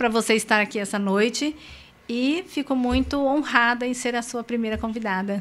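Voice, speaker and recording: Her voice sits at a fairly high pitch as the woman talks at a moderate pace. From Brazil, São José do Rio Preto, São Paulo state. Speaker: motivational speaker and coach. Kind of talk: interview.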